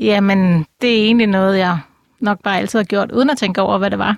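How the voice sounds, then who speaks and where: A woman with an unremarkable speaking voice talks at a moderate pace and medium pitch, her intonation fairly even and her sound dry and close with no echo. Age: 50s. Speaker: animal communicator and clairvoyant. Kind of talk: interview. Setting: studio.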